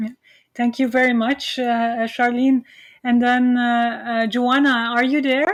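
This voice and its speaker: A woman with a Flemish accent speaks at a high pitch and a fairly slow pace. Her intonation stays monotone and flat, and her loudness remains very even. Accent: Flemish Belgian English. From Belgium. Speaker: university lecturer. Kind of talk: online lecture. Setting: video call. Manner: hesitant, many fillers.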